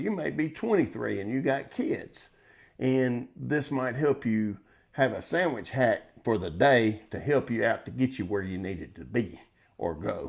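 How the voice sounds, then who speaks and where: The speaker is a man with a medium pitch and vocal fry. The background is quiet. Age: 60s. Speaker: grandfather cooking vlogger. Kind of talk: casual tutorial vlog. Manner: rambling, halting with fillers.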